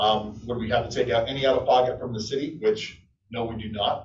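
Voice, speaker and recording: Room echo is audible around a man's voice. He speaks at a fairly quick pace. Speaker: energy services contractor presenter. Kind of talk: business presentation to city council. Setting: city council meeting. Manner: fast.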